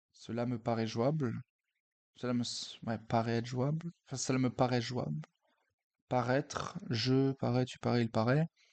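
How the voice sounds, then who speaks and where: With a dry, close sound and no echo, a man speaks fairly slowly at a medium pitch, with ordinary pitch variation and long, frequent pauses. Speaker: chess streamer. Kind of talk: live game commentary. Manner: hesitant, many filler sounds.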